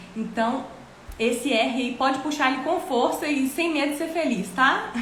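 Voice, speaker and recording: A woman's high-pitched, animated voice at a moderate pace, with ordinary pitch variation, noticeable background noise and audible room echo. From Brazil, interior of Minas Gerais. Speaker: English teacher. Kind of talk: online English lesson livestream. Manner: animated, many filler words.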